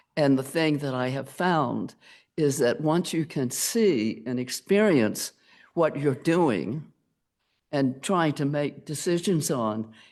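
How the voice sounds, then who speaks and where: Speech comes at a very slow pace over a quiet background. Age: 80s+. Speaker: member of the public giving comment. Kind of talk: public comment at meeting. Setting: county planning meeting. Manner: halting.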